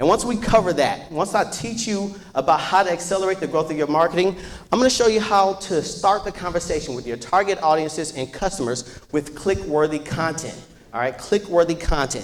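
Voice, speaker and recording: A man's animated, high-pitched voice at a fairly quick pace, with noticeable background noise. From US Midwest, Chicago. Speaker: business owner, workshop presenter. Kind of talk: workshop presentation. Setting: stage with audience. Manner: fast.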